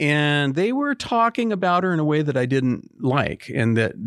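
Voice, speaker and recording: A man with an American accent, a normal speaking voice, lively intonation and a moderate pace, over a quiet background. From Portland, Oregon. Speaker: pastor and author. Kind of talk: casual chat.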